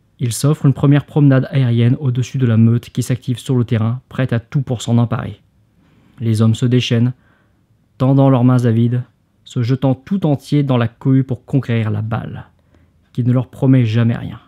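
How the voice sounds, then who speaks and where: In a dry, close sound with no echo, a man with a medium pitch and a dark, mellow tone talks at a moderate pace with fairly even intonation and long, frequent pauses. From Hauts-de-France. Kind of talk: sleep reading of a book excerpt.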